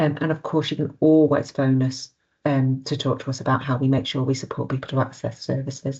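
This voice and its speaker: Her very deep, low voice somewhat breathy, a woman talks at a fairly quick pace in a flat monotone. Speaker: family support service manager. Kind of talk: online presentation. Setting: video call. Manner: fast.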